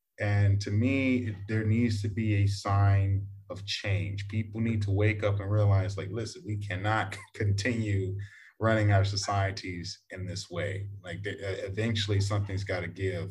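The voice is somewhat breathy and monotone, with flat intonation. It moves at a fairly slow pace amid audible room echo. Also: man, fairly low pitch for a man. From Texas, US. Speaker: podcast host. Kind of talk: casual chat.

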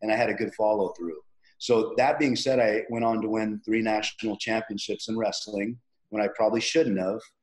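In a normal speaking voice, a man talks fairly quickly at a medium pitch with fairly even intonation. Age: 50s. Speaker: personal trainer. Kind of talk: interview. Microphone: connection cutting out.

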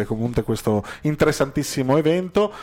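A man's dark, mellow tone with lively intonation. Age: 30s. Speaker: web radio host. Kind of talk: radio interview.

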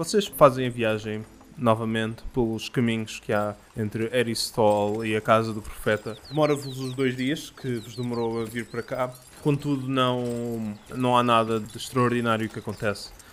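At a moderate pace, a man uses a normal speaking voice with medium pitch and fairly even intonation. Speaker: game master of tabletop roleplaying podcast. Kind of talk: game narration.

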